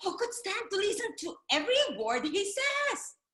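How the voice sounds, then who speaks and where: A put-on character voice, squeaky and at an extremely high pitch, moves at a moderate pace. There is a slight echo. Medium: stage play. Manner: teasing, tempting.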